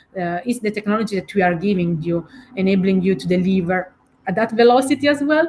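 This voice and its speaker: A woman with an Italian accent speaks very fast in a somewhat breathy, medium-pitched voice with lively intonation. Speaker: keynote speaker and digital director. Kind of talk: podcast interview. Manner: halting, many fillers.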